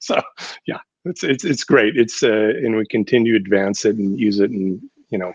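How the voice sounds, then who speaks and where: A man with an ordinary speaking voice, fairly low pitch and a moderate pace. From US Upper Midwest (North Dakota/Minnesota). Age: 60s. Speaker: architect, design firm president. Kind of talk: podcast interview. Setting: podcast studio.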